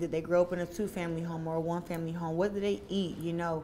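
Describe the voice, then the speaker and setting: Very fast speech from a woman against light background noise. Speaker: interviewee. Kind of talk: interview answer. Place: home room. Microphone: lapel.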